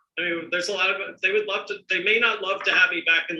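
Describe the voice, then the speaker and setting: Raised and projected, a man's voice has a bright, sharp tone and ordinary pitch variation. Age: 60s. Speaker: entrepreneur and drinks author. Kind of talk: webinar interview. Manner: halting, many repetitions.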